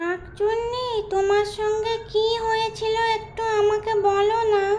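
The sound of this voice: In a cartoonish character voice at an extremely high pitch, a woman speaks at a fairly slow pace with monotone, flat intonation over clear background noise.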